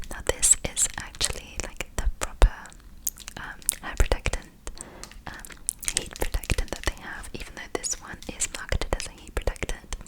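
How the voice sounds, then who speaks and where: Noticeable background noise fills the clip. Through it, a woman is whispering. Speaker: ASMR content creator. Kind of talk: ASMR product review, casual rambling to camera. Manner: whispered, close-up.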